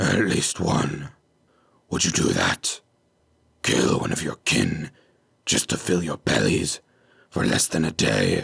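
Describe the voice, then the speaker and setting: Putting on a raspy, rumbling character voice, a man speaks very deep and low at a fairly slow pace, with long, frequent pauses. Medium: read story. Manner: growling, intimidating.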